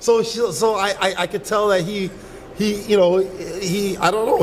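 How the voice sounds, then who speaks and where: High-pitched male voice against noticeable background noise. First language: Yoruba. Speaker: reality dating show contestant. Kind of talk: casual chat.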